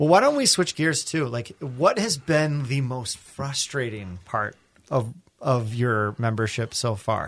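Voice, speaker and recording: Fairly slow, with ordinary pitch variation, comes an ordinary speaking voice. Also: man, medium pitch for a man. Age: 30s. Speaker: podcast co-host. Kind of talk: casual chat.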